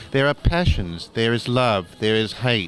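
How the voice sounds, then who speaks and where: With noticeable background noise behind him, a man in an Australian accent talks at a moderate pace with ordinary pitch variation. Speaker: cartoonist and doctor. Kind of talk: interview. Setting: convention.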